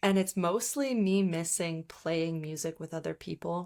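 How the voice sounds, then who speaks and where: A woman with a Canadian accent has a normal speaking voice, fairly low in pitch, and talks at a fairly slow pace. The recording is very clean, with a silent background. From Canada. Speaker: trumpet player and podcast co-host. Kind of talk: casual chat.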